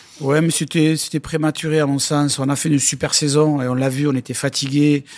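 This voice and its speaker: Monotone, flat intonation at a moderate pace in a very clean recording with a silent background. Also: man. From southwest France, Lourdes (Hautes-Pyrénées). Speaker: rugby club president. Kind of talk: interview. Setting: in a stadium stand.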